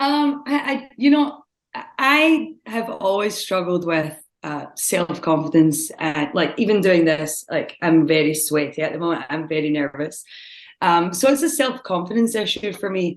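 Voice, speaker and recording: A woman with a fairly low voice talks at a fairly slow pace. Her pitch swings very widely. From Scotland. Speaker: gym member. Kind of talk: interview.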